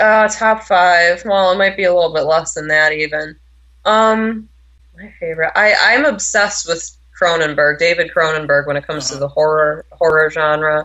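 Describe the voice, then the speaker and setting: At a moderate pace, a woman uses an ordinary speaking voice, fairly low in pitch, with an American accent and ordinary pitch variation. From New York. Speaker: horror film reviewer. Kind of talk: interview. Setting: phone call.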